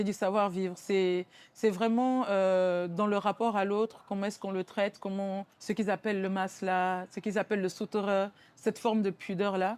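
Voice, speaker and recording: A woman at a medium pitch with monotone, flat intonation and a moderate pace, on a very clean recording with a silent background. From Benin. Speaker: musician and rapper. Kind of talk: interview. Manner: hesitant, many repetitions and fillers.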